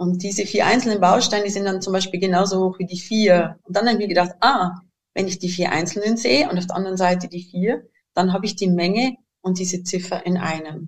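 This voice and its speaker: A woman with a Bavarian accent talks at a fairly quick pace in a medium, somewhat breathy voice with fairly even intonation. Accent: Bavarian, noticeable. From Bavaria, southern Germany. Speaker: educator and inventor of learning materials. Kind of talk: interview conversation.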